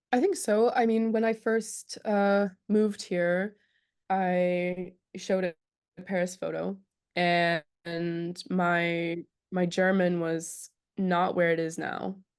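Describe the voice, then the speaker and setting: A woman speaks at a very slow pace in an American accent, her pitch medium. Her intonation is fairly even, and the background is quiet. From California, US. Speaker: visual artist. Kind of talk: casual chat.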